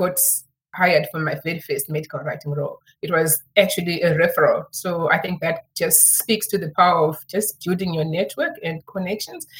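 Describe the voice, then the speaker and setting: A somewhat breathy woman's voice, fairly low in pitch, at a moderate pace. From Zimbabwe. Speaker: medical writing consultant. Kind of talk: interview.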